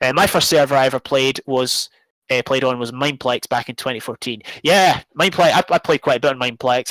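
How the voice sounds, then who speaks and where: A man with a Scottish accent and medium pitch talks at a fairly quick pace in a dry, close recording with no echo. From Scotland. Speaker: YouTuber and gamer. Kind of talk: live stream charity talk. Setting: live stream. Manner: hesitant, many fillers.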